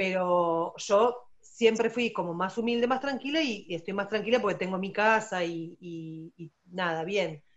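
Spoken with an Argentine accent, the voice shows ordinary pitch variation. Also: woman, medium pitch for a woman, fairly slow pace, hardly any pauses. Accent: Rioplatense Argentine Spanish. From Argentina. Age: 40s. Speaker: special education teacher. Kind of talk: testimony interview.

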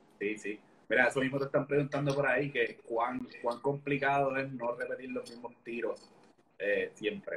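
A man speaks with a Puerto Rican accent. His pace is moderate. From Puerto Rico, Orocovis. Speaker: Instagram live interviewer. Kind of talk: casual live-stream interview. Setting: online live stream.

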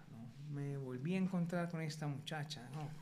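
A man's fairly high, somewhat breathy voice at a fairly slow pace, with fairly even intonation and audible room echo. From Colombia. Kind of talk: testimony. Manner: halting.

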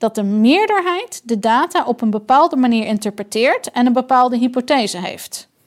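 Her voice is high, with lively intonation and a moderate pace, as this woman speaks in a dry, close sound with no echo. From outside the Netherlands. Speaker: doctor and board member of a critical health group. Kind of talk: interview conversation. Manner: halting.

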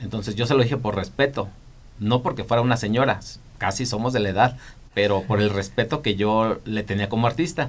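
A man's medium-pitched, ordinary speaking voice at a fairly quick pace, with ordinary pitch variation. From Michoacán, Mexico. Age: 40s. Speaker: TV and events producer. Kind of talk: interview.

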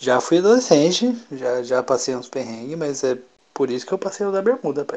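Here a man speaks at a fairly high pitch. He has a normal speaking voice and keeps a moderate pace. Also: lively intonation. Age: 20s. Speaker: podcast co-host. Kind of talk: casual chat. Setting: at home alone.

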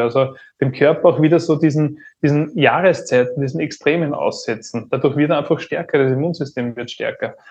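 A somewhat breathy man speaks at a fairly quick pace and fairly high pitch, with ordinary pitch variation, against a quiet background. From Upper Austria. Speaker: entrepreneur and business turnaround consultant. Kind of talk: podcast interview.

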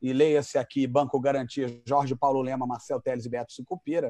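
A man's dark, mellow voice at a moderate pace, dry and close with no echo, over a quiet background. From Rio de Janeiro, Brazil. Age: 50s. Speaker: entertainment entrepreneur. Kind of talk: casual interview.

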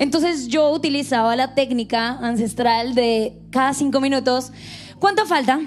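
The speaker talks at a fairly slow pace with a Colombian accent. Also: woman. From Colombia, Bogotá, coastal family. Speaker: church staff member. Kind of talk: devotional talk. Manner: loud.

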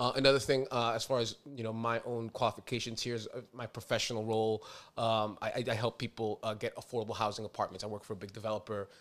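A man with a New York accent talks at a very fast pace with hardly any pauses and monotone, flat intonation, on a very clean recording with a silent background. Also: medium pitch for a man. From New York City (Inwood/Dyckman, Upper Manhattan). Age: 30s. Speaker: podcast host, nonprofit president. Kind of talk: casual chat. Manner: halting, many fillers.

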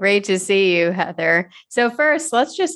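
A woman with an ordinary speaking voice talks at a medium pitch and a moderate pace. The background is quiet. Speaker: urologist and podcast host. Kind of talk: educational podcast interview.

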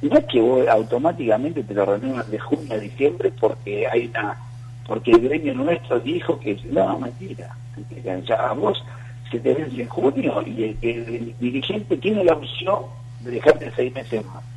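A man speaks at medium pitch with big swings in loudness. Noticeable background noise is present. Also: ordinary pitch variation, moderate pace. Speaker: football coach and coaches' union activist. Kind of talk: radio interview.

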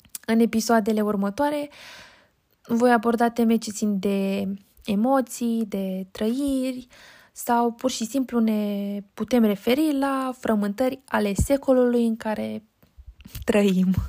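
A woman speaks very slowly at a fairly high pitch, with a dark, mellow tone and fairly even intonation. The recording is very clean, with a silent background. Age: 20s. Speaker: podcast host and university student. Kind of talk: solo podcast monologue.

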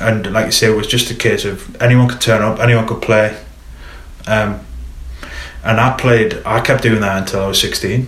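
A man with a Geordie accent speaks at a moderate pace and medium pitch, with fairly even intonation and long, frequent pauses. Audible room echo and noticeable background noise are present. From northern England, Newcastle. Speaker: football coach educator. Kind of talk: casual interview. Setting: studio.

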